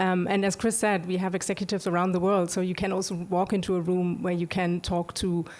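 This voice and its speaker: A woman with a non-native accent speaks in a flat monotone at very even loudness, on a very clean recording with a silent background. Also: medium pitch for a woman, hardly any pauses. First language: not English. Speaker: streaming animation executive. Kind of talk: panel discussion. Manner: halting, many fillers.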